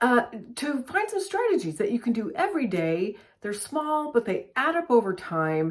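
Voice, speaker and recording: A woman's high voice at a moderate pace, full of very wide pitch swings. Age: 60s. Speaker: lifestyle vlogger. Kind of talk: casual tutorial. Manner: conversational.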